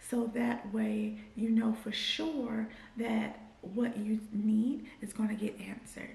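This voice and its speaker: A woman speaks at a fairly high pitch in a monotone, flat intonation, with audible room echo around her. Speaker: clinical research associate vlogger. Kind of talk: tutorial. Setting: in a car. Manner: slurred speech from dental aligners.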